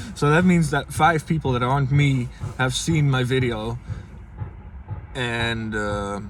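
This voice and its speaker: Against noticeable background noise, a man speaks at a medium pitch with ordinary pitch variation. His pace is fairly slow, with long, frequent pauses. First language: Dutch. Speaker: vlogger. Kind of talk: casual vlog. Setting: inside a car. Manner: halting, many fillers.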